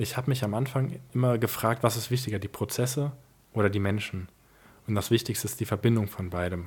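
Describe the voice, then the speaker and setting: Somewhat breathy, a man speaks fairly quickly at medium pitch with ordinary pitch variation. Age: 20s. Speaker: family business successor and founder. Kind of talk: interview.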